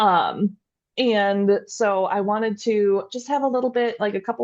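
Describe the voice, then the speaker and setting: A woman with a Midwestern accent speaks at a fairly slow pace and medium pitch, with fairly even intonation, against a quiet background. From US Midwest. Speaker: podcast host, dairy extension educator. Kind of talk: casual educational podcast chat.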